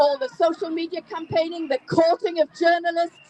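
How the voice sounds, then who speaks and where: A woman with a Geordie accent speaks at an extremely high pitch. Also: dry, close sound with no echo. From Newcastle upon Tyne, England. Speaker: campaigner. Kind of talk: speech at an outdoor rally.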